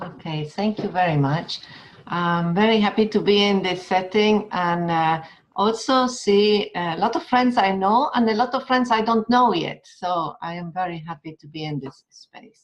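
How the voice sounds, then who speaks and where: A woman with an Argentine accent talks at a medium pitch and moderate pace, her intonation lively. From Argentina. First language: Spanish. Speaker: educator. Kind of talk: webinar talk; guided meditation.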